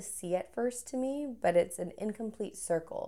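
A woman's normal speaking voice at a moderate pace, with ordinary pitch variation. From Texas. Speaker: guest, traveler and polo player. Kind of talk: casual chat.

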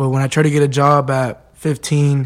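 A man with a Spanish accent and monotone, flat intonation. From Mexico. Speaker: undocumented student. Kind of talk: personal testimony.

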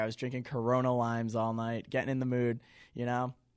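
This is an unremarkable speaking voice at a moderate pace. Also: man. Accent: American. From central Massachusetts, near Worcester. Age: 20s. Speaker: college student podcast co-host. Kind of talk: casual chat.

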